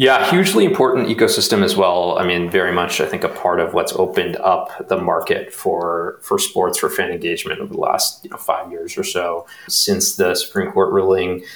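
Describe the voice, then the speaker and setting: Against noticeable background noise, a man talks at a fairly quick pace with hardly any pauses. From US Midwest (Omaha, Nebraska), born in India. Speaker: startup founder and CEO. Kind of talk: interview.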